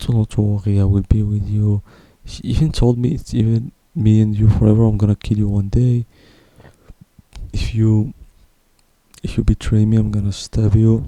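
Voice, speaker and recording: A man talks at a moderate pace in a fairly low pitch with a dark, mellow tone and fairly even intonation. He leaves long, frequent pauses. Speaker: vlogger. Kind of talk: personal testimony. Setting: at home at night. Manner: quiet, speaking softly at night; halting. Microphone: broken pop filter, possible plosive noise.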